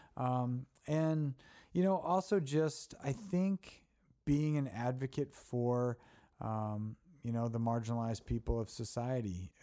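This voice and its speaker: A man with an American accent and a medium-pitched voice speaks at a fairly slow pace with lively intonation. His tone is dark and mellow, on a very clean recording with a silent background. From Baltimore, Maryland. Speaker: nonprofit CEO. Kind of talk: podcast interview.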